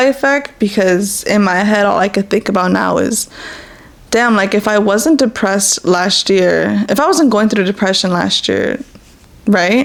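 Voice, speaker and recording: Noticeable background noise sits behind a woman speaking in a medium pitch. She moves at a moderate pace with ordinary pitch variation. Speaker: podcast host. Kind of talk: casual personal talk. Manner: halting, stuttering.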